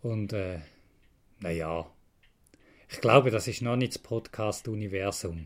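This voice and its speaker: Long, frequent pauses and big swings in loudness in a Swiss accent, on a very clean recording with a silent background. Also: man, ordinary pitch variation, fairly slow pace. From Switzerland, Frauenfeld (Thurgau). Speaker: podcast host, retro computer collector. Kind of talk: casual solo monologue. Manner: rambling with hesitations.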